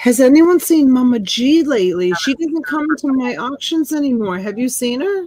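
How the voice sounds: With a Boston accent, a woman talks at a moderate pace in a high pitch, using lively intonation and hardly any pauses.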